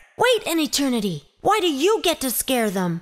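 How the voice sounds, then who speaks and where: A female-sounding, put-on character voice with a high pitch comes through. It swings very widely in pitch at a moderate pace. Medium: audio drama. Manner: lively, bossy.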